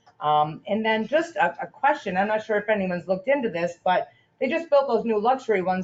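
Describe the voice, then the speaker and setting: With hardly any pauses, a woman speaks at a fairly quick pace in a fairly high voice with lively intonation. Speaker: resident making public comment. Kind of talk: public comment at town meeting. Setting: town council meeting room. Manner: loud.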